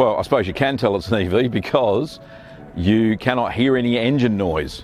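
At a moderate pace, a man talks in a dry sound with no echo while faint music plays in the background. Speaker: car owner vlogger. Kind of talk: casual vlog chat. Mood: pleased, relaxed. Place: open country. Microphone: lapel.

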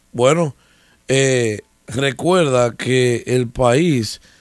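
Here a man speaks at medium pitch with ordinary pitch variation. The sound is dry with no echo, and the background is quiet. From Dominican Republic. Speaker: political commentator. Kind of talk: casual political discussion. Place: studio. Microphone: studio mic.

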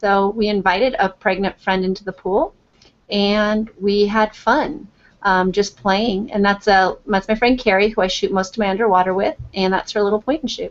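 A woman in a normal speaking voice talks at a moderate pace and medium pitch, with fairly even intonation. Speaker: photographer. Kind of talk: tutorial. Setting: video call.

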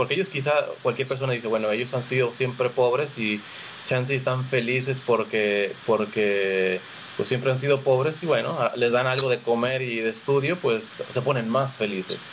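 A man talks at a moderate pace and medium pitch with ordinary pitch variation, over light background noise. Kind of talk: faith interview. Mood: warm, friendly, curious. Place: home room. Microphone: webcam.

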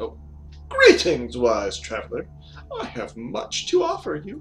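Using a put-on character voice, a man talks at a fairly slow pace over clear background noise.

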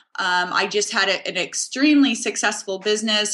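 A woman with a General American accent speaks at medium pitch and a moderate pace, with ordinary pitch variation, over noticeable background noise. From US Pacific Northwest, Seattle. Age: 40s. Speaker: real estate agent. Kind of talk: interview.

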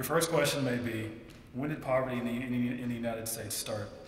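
The man talks at a very fast pace with fairly even intonation. Light background noise and audible room echo are present. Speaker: student contestant. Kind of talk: persuasive speech. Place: hall. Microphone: podium.

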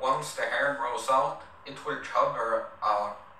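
Amid light background noise and audible room echo, a man with a non-native accent speaks at a very slow pace. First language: not English. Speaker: vlogger. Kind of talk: casual talk to camera. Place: home room.

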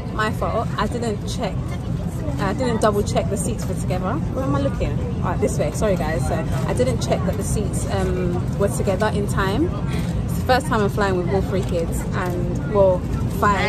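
Crowd noise fills the background as a woman talks at a moderate pace. The sound is dry, with no echo. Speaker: family vlogger. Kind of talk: casual vlog chat. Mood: cheerful, amused. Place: plane. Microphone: phone near.

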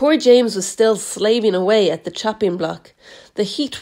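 Typical pitch movement in a reading voice that sounds natural

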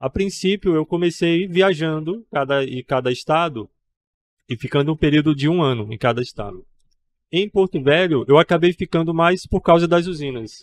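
A man with a fairly high pitch speaks at a moderate pace in a dry sound with no echo. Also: ordinary pitch variation. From Paraíba, Brazil (João Pessoa); Paraíba, Brazil. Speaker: painter and artist; guest. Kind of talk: interview at a trade fair. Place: studio. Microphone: studio mic.

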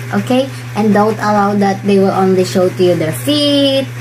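Woman with a Filipino accent and very wide pitch swings, against noticeable background noise. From Philippines. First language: Bisaya. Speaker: vlogger. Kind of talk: vlog monologue giving advice. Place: home room. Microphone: phone near.

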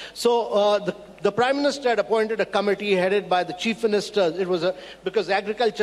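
Ordinary pitch variation carries speech delivered at a very fast pace. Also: man. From India. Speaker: government policy official; panelist. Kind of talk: panel discussion. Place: hall. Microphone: handheld.

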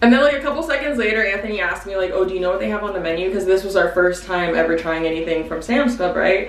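A woman talks at a very fast pace with lively intonation and hardly any pauses, and audible room echo surrounds her voice. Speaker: YouTuber and mother. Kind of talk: casual chat. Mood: playful, gossipy, a bit annoyed. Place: bathroom.

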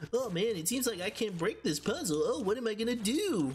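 Over clear background noise, a put-on character voice runs at a fairly quick pace with a fairly high pitch. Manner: silly, cartoonish.

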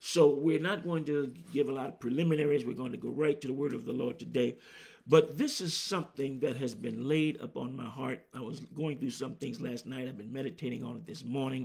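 Over a quiet background, the voice carries vocal fry and big swings in loudness. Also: man, ordinary pitch variation, fairly quick pace. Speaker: preacher. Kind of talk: sermon. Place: office. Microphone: phone near.

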